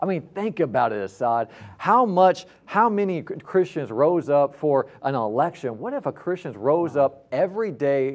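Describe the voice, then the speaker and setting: At a moderate pace, a man's voice swings very widely in pitch. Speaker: pastor. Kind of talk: preaching, passionate testimony. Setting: studio. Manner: fired up, emphatic, fervent. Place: studio. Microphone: lapel.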